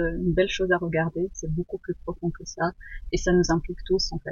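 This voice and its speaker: A woman's voice at medium pitch. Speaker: permaculture student. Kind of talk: interview. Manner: halting.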